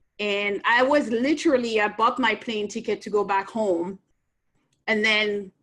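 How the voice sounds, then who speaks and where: With a French accent, a woman talks fairly slowly at a fairly high pitch and ordinary pitch variation. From France, Nancy. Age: 50s. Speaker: entrepreneur. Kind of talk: interview.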